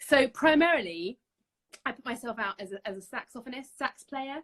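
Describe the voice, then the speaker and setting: A woman speaks at a moderate pace in a London accent. The sound is dry and close, with no echo. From North London, England. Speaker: saxophonist and music teacher. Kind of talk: casual interview. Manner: hesitant, many fillers.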